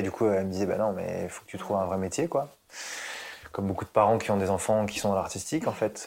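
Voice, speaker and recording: A man talks in a fairly low pitch. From Paris suburbs, Essonne. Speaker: therapist and former music producer. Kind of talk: casual interview. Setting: at home in his living room. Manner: hesitant, many fillers.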